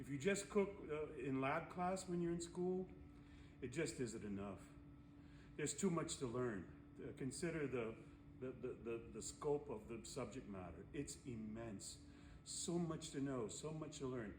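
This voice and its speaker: A man talks fairly slowly at a medium pitch with lively intonation, leaving long, frequent pauses. The room echo is audible. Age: 60s. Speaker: culinary instructor. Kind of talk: tutorial. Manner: casual, conversational.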